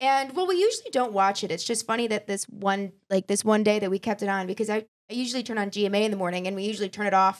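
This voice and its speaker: A woman with an American accent talks very fast at medium pitch, with fairly even intonation and hardly any pauses. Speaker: podcast host. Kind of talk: casual chat.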